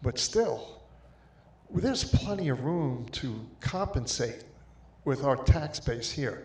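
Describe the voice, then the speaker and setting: A man with an American accent speaks at a very slow pace in a medium pitch, his intonation lively and his voice somewhat breathy, with audible room echo. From Long Island, New York. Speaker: resident speaking at town hall. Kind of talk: public comment at town hall. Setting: town hall meeting with mic. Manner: somewhat quiet.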